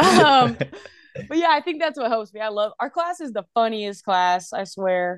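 A woman with an American accent, fairly high in pitch with very wide pitch swings, at a moderate pace. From North Carolina. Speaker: dental student. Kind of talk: casual chat. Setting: video call. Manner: laughs a lot; loud.

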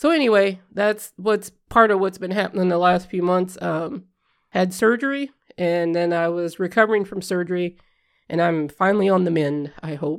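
A woman with a normal speaking voice talks at a moderate pace, her pitch medium and its variation ordinary. The recording is very clean, with a silent background. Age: 40s. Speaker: podcast host living with lupus. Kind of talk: personal health story monologue.

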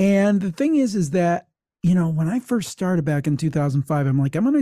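A man's dark, mellow voice with lively intonation at a fairly quick pace, on a very clean recording with a silent background. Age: 50s. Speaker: paranormal podcaster and author. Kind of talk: casual interview and storytelling.

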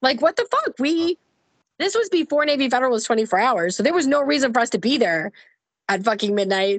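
Using a dry, close sound with no echo, a woman speaks high-pitched and animated at a fairly quick pace, her pitch swinging very widely while her loudness stays very even. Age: 40s. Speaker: podcast co-host. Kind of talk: casual chat.

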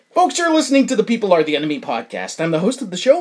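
Using very wide pitch swings, a man talks with an American accent. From New England, US. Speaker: podcast host and self-published novelist. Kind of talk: casual monologue and interview. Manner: animated.

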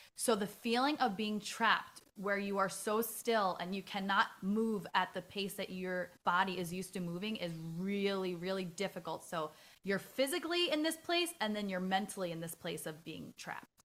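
A woman's normal speaking voice at a medium pitch, American accent, moderate pace, hardly any pauses, and ordinary pitch variation. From New York, the Bronx. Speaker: actress and wedding singer. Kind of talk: casual chat.

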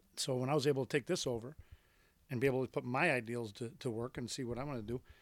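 Very fast and fairly even in intonation, a man with an American accent and medium pitch speaks on a very clean recording with a silent background. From Buffalo, New York. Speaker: baseball coach. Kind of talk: casual interview.

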